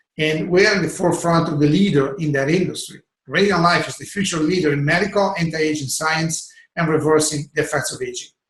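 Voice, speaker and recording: In a room with audible echo, a man talks at a fairly quick pace with a fairly high pitch and fairly even intonation. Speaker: network marketing product trainer. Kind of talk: online sales training webinar. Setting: video call webinar. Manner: fast.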